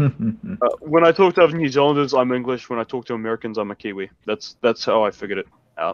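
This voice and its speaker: A man talks at a very fast pace in a medium-pitched voice with lively intonation. The sound is dry and close, with no echo. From New Zealand. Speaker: artist on a group drawing stream. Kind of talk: casual chat.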